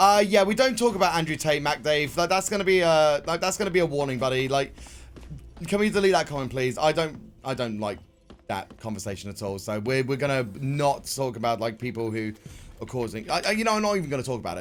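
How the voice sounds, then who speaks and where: A man talks loud and very fast at a fairly high pitch, with very wide pitch swings. Music plays in the background. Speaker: streamer. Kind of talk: live gameplay commentary. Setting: live stream.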